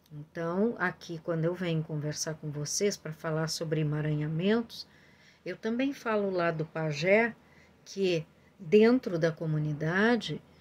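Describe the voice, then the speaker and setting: Here a woman talks at a fairly low pitch. Her pitch varies in an ordinary way. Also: fairly slow pace, very clean recording, silent background. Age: 60s. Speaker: family constellation therapist. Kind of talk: informal talk to viewers. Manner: hesitant, many fillers.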